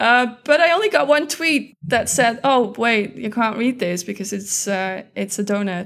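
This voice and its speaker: A woman with a Dutch accent talks at a fairly slow pace with hardly any pauses. Her fairly high voice has lively intonation. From Netherlands. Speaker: data scientist. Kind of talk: interview.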